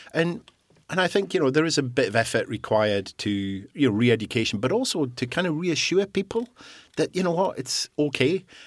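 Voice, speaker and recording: With a Scottish accent, a man speaks fairly high and fairly quickly. His pitch swings very widely on a very clean recording with a silent background. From Scottish island. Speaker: guest sharing recovery from alcohol abuse. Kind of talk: interview about personal story.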